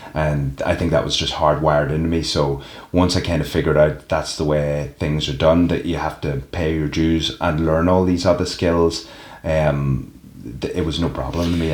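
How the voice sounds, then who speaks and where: A man with a Northern Irish accent speaks in a very deep, low voice with monotone, flat intonation. His pace is moderate, and audible room echo surrounds him. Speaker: professional wrestler. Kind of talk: interview.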